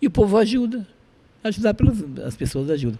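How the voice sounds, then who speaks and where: Fairly even intonation carries a man's speech at a moderate pace. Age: 60s. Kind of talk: interview, personal testimony.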